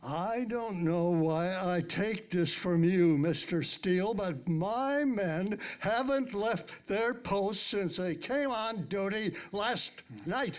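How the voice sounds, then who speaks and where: Using a put-on character voice, a man talks very slowly in a high pitch with hardly any pauses. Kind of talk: live old-time radio drama performance.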